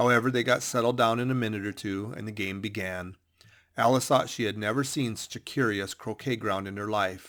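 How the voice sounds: The pitch varies in an ordinary way throughout a natural reading voice.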